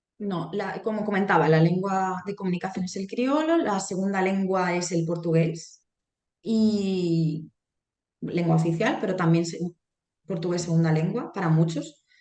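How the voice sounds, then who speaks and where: Audible room echo surrounds a woman speaking at medium pitch. Her tone is dark and mellow, her pace fairly slow. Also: ordinary pitch variation. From Spain, Alcoy (Alicante), Valencian-speaking area. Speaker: Spanish language lecturer. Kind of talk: interview.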